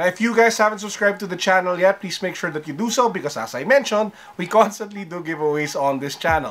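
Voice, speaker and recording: A high-pitched man's voice, very fast and lively in intonation, with hardly any pauses. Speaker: sneaker and tech vlogger. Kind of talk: casual vlog. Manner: less lively than usual.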